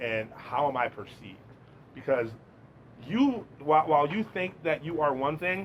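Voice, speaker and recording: A man's fairly high voice with lively intonation, a moderate pace, and long, frequent pauses. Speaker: podcast host. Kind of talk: podcast interview. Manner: loud.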